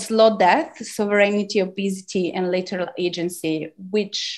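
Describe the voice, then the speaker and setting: A woman with an Italian accent, fairly slow pace and medium pitch, on a very clean recording with a silent background. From Italy (Turin). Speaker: academic lecturer. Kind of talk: lecture. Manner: halting, many fillers.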